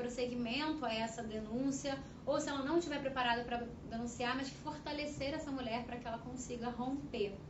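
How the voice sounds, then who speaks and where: A woman with a high pitch and fairly even intonation talks at a moderate pace, with audible room echo and noticeable background noise. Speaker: panel speaker on women's rights. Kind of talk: panel talk. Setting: debate event at a union headquarters.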